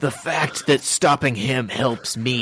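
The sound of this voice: An unforced reading voice with fairly even intonation.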